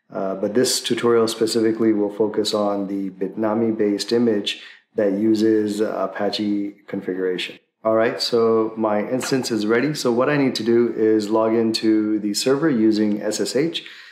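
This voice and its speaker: With audible room echo, a man talks at a moderate pace in a fairly low pitch, with fairly even intonation and hardly any pauses. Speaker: tech tutorial host. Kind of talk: tutorial. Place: home room.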